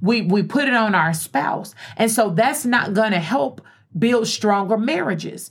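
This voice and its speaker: Lively intonation and very even loudness mark a plain, everyday voice at a fairly slow pace. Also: woman, fairly high pitch for a woman. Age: 40s. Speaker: radio host. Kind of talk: casual chat.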